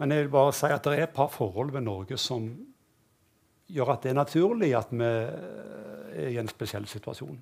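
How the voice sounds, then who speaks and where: Vocal fry runs through this man's speech. He talks at a moderate pace. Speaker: university rector and economics professor. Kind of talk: panel discussion. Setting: stage with audience. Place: stage.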